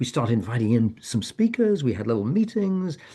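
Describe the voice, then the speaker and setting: Fairly quick, somewhat breathy speech in a dark, mellow tone, with very wide pitch swings. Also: man. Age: 70s. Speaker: author and end-of-life educator. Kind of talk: online info session presentation. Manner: halting, many repetitions and false starts.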